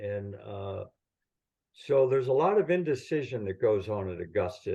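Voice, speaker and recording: Somewhat breathy speech at a moderate pace comes through over a quiet background. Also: man. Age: 70s. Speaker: golf professional and caddie. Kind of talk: casual chat.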